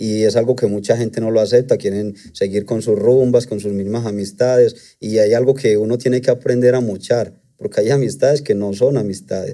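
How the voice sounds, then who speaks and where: Against a quiet background, a man with a dark, mellow tone speaks at a moderate pace, his intonation fairly even and with hardly any pauses. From Colombia, Antioquia. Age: 30s. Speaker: trader; interview guest. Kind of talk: testimony. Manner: hesitant, with fillers. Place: studio. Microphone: studio mic.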